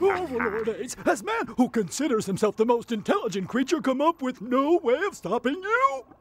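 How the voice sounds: In a cartoonish character voice pitched extremely high, a man talks at a moderate pace with hardly any pauses.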